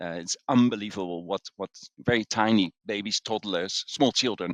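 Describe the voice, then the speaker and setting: With a Dutch accent, a man talks at a fairly low pitch with ordinary pitch variation. The sound is dry and close with no echo, against a quiet background. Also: moderate pace. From Netherlands. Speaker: executive coach and author. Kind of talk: interview. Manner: hesitant, many fillers.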